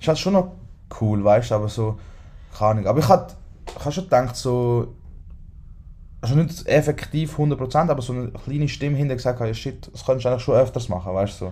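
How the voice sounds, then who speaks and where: This dark, mellow, somewhat breathy voice moves at a very fast pace with lively intonation. Long pauses break it up frequently. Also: man, medium pitch for a man. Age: 20s. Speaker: podcast host. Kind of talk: casual chat.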